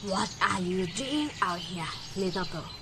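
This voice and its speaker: A croaky, female-sounding put-on character voice at middle pitch, fairly slow in pace, over loud background noise. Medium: stage play. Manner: fake friendly, sly.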